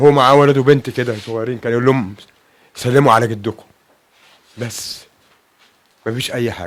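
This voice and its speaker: Fairly even intonation runs through long, frequent pauses and big swings in loudness, with an Egyptian accent. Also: man, medium pitch for a man, moderate pace. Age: 60s. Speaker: bereaved father. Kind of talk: interview testimony. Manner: halting.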